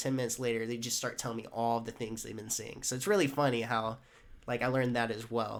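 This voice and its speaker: In an American accent, a man talks at a fairly quick pace with a medium pitch and fairly even intonation, on a very clean recording with a silent background. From US South, Jacksonville, Florida. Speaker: door-to-door salesman. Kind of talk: casual podcast chat.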